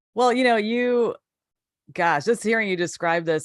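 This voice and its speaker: A woman with an American accent speaks in an ordinary speaking voice at a fairly quick pace with lively intonation. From Chicago area, Illinois. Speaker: interviewer. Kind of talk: interview. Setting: live online show.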